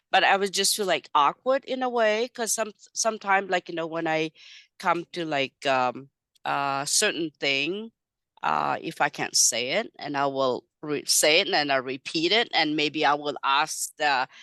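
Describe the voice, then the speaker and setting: A woman with a non-native accent, a very deep, low pitch, a bright, sharp tone, lively intonation and a fairly slow pace, in a dry, close recording with a quiet background and no echo. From Madagascar, Chinese family. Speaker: ESL teacher. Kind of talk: interview. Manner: halting.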